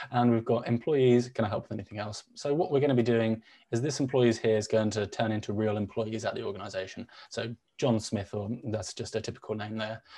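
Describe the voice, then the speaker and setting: Fairly quick and fairly even in intonation, a man talks at medium pitch with a dark, mellow tone. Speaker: chatbot builder, show co-host. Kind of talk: live software demo tutorial. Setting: live stream with online audience. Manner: fast.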